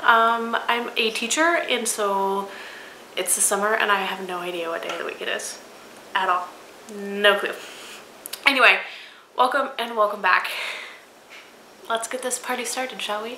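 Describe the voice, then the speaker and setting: With audible room echo and noticeable background noise, a woman at a fairly high pitch speaks at a moderate pace, her ordinary pitch variation broken by long, frequent pauses and big swings in loudness. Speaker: knitting podcast host. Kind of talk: casual video podcast monologue. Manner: casual with frequent fillers.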